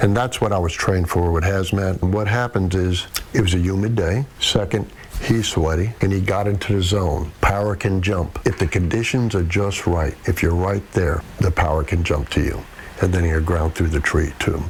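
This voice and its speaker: A man speaks at a moderate pace in a very deep, low voice with ordinary pitch variation. His loudness stays very even, and there is noticeable background noise. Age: 60s. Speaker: retired fire captain. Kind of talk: interview.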